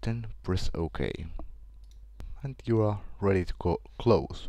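Lively intonation carries a dark, mellow tone on a very clean recording with a silent background. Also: man. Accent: Finnish. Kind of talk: screen-recorded software tutorial.

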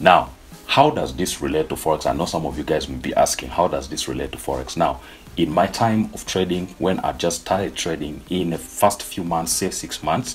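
The speech moves at a moderate pace with ordinary pitch variation. Faint music plays in the background. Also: man, very deep, low pitch for a man. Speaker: forex trader vlogger. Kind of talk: casual vlog chat. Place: home room.

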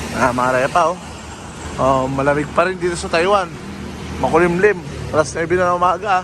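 There is noticeable background noise as a man talks at a fairly quick pace with long, frequent pauses. His pitch is high with ordinary variation. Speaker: vlogger, Filipino migrant worker in Taiwan. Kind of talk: casual vlog narration.

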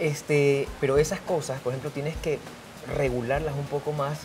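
The speech moves at a fairly quick pace. Clear background noise is present. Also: man.

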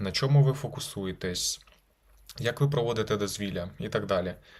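A man speaks at a fairly quick clip with medium pitch and lively intonation, in a normal speaking voice. The recording is very clean, with a silent background. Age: 20s. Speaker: lawyer. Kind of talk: video blog advice talk. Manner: casual.

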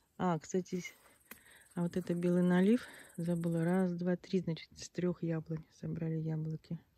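Over a quiet background, a woman with a fairly low voice and a dark, mellow tone speaks at a moderate pace, with monotone, flat intonation and long, frequent pauses. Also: dry sound with no echo. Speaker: village vlogger. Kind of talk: casual video tour. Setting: outdoors. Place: garden. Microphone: phone near.

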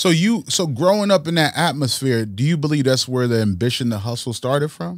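Against a quiet background, a man with an American accent speaks at a fairly quick pace with very wide pitch swings, the sound dry with no echo. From Bridgeport, Connecticut, US Northeast. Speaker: podcast host. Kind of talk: casual interview. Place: studio. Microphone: studio mic.

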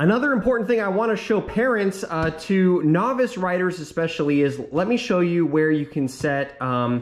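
A man speaks at a moderate pace with a high pitch and very wide pitch swings. The background is quiet. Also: hardly any pauses. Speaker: dad reviewing a mini bike. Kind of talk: tutorial. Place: garage. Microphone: phone near.

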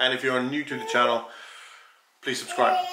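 A man's delivery is fairly quick. Noticeable noise sits in the background. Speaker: vlogger. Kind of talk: casual vlog chat. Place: kitchen. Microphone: phone near.

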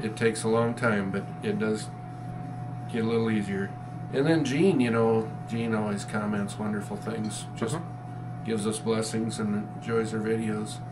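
A man at a moderate pace, with noticeable background noise. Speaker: farmer and rancher. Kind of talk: casual chat. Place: office. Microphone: camera far.

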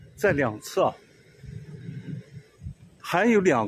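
A man speaks very slowly with very wide pitch swings. Noticeable background noise runs underneath. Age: 70s. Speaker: solo road-tripper. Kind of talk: travel vlog narration.

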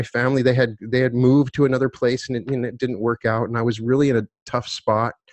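A man's voice comes through dry with no echo against a quiet background. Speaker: podcast guest. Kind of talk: interview answer. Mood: earnest, personal story. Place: home room. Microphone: studio mic.

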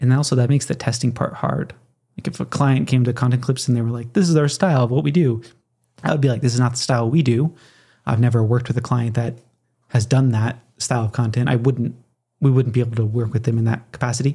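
Talking at a very fast pace, a man has a medium pitch and fairly even intonation. His tone is dark, mellow and somewhat breathy. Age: 30s. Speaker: podcast host. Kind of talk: solo podcast monologue. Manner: casual with frequent fillers.

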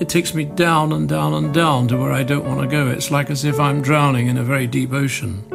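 Clear background music under a man's voice. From north London. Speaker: war photographer. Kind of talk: documentary interview. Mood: reflective, haunted, quiet. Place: home room.

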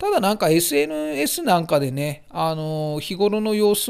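A man's fairly high pitch, in an ordinary speaking voice with ordinary pitch variation, is caught on a very clean recording with a silent background. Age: 40s. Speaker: hobbyist fish-keeping YouTuber. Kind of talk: casual vlog monologue.

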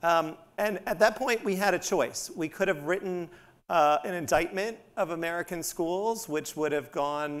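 The pitch variation stays ordinary. A man keeps his speech at a moderate pace. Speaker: education professor. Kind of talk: panel remarks. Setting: stage with audience. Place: stage. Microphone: lapel.

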